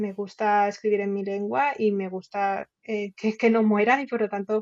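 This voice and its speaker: A woman talks at a fairly slow pace. Her pitch is medium and her intonation fairly even. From Catalonia, Spain. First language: Catalan (speaking Spanish). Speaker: novelist and journalist. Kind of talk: interview. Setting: podcast.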